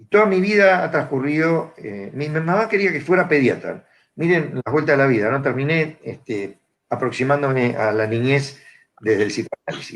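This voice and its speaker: This man's voice sits fairly high and his intonation is lively. His pace is moderate. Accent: Rioplatense. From Argentina, Buenos Aires area (Morón). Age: 60s. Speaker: psychiatrist and psychoanalyst. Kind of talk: panel talk. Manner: hesitant, many fillers.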